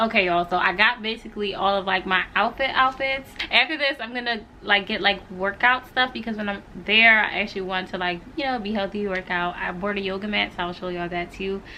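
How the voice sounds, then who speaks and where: Fairly quick, medium-pitched female speech with an American accent, ordinary pitch variation and hardly any pauses, over noticeable background noise. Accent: American English, casual with y'all. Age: 20s. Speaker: lifestyle vlogger. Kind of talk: casual vlog talk to camera. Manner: casual, chatty.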